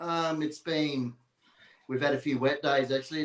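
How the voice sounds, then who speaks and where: With an Australian accent, a man talks using fairly even intonation. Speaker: dog breeder and livestock contractor. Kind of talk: casual interview.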